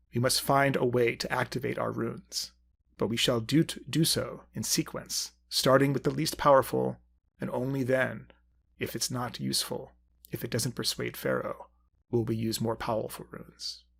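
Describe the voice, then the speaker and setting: A man in a put-on character voice, medium pitch, moderate pace. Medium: solo performance. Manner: solemn, measured.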